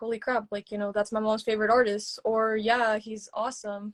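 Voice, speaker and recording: In an American accent, a woman talks at a fairly quick pace with hardly any pauses and a fairly high pitch. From rural East Texas. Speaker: social media educator. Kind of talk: interview conversation. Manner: casual, filler-heavy.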